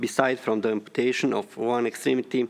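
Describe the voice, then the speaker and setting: In a Bosnian accent, a man speaks at a moderate pace with monotone, flat intonation. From Bosnia and Herzegovina. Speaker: landmine survivor and ex-deminer. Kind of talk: formal speech.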